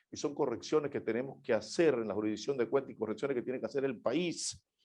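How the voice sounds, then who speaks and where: A man talks in a dark, mellow tone with a quiet background. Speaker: judge giving a conference talk. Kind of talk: conference keynote speech. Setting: online conference.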